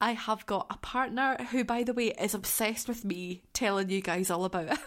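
On a very clean recording with a silent background, a woman speaks with a Scottish accent at a medium pitch. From Scotland. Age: 20s. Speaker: podcast host, care worker with young people. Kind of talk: casual solo chat. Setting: home living room. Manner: animated.

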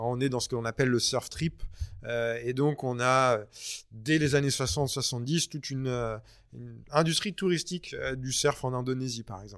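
The recording is very clean with a silent background. A man with an ordinary speaking voice talks at a moderate pace and medium pitch, with ordinary pitch variation and big swings in loudness. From France. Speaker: author and surf historian. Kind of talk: interview.

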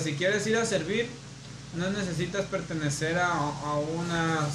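A man's fairly high voice at a fairly slow pace, ordinary pitch variation, audible room echo and noticeable background noise. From Mexico, Culiacán, Sinaloa. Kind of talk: casual chat.

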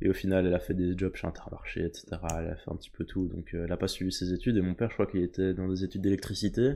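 A man speaks at a very fast pace in a very deep, low pitch. His intonation is monotone and flat, with a dark, mellow tone. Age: young. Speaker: medical student. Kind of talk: casual chat.

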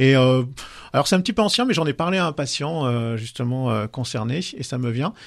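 A man's normal speaking voice at medium pitch, moderate pace and lively intonation, with hardly any pauses and a quiet background. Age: 50s. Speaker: sexologist and couples therapist. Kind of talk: casual chat. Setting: studio.

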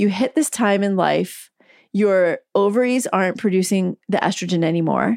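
At a moderate pace, a woman talks in an unremarkable speaking voice with ordinary pitch variation. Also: dry, close sound with no echo. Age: 50s. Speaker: physician and author. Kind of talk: interview. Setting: video call from home.

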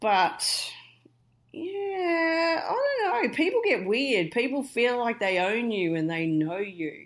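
A woman's fairly high voice with a strong Australian accent and very wide pitch swings. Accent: broad Australian. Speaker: podcast guest. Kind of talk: casual chat.

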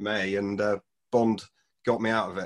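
The pace of this man's speech is moderate. He talks in a British accent. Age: 40s. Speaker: film fan podcast guest. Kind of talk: casual chat. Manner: halting.

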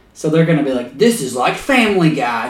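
Noticeable background noise sits under a man whose voice makes very wide pitch swings. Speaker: podcast host. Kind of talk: casual comedic banter.

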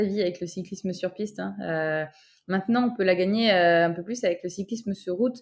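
A woman at a fairly quick pace with ordinary pitch variation, a normal speaking voice. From southern France, Toulouse. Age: 20s. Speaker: track cyclist, Olympic athlete. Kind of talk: interview conversation.

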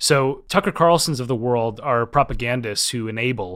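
In a very clean recording with a silent background, a man with an unremarkable speaking voice talks in an American accent at a medium pitch with ordinary pitch variation. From US Midwest, Minnesota. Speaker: political scientist, professor and author. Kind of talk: interview discussion.

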